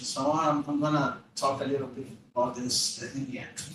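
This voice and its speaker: With a Portuguese accent, a man talks at a fairly slow pace with ordinary pitch variation, and audible room echo surrounds his voice. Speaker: physics professor. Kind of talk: lecture. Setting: lecture room with audience. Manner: hesitant, many fillers.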